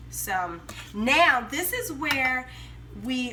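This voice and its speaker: A woman speaks with an American accent. Audible room echo and noticeable background noise surround her voice. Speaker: home cooking vlogger. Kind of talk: cooking tutorial. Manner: casual, chatty.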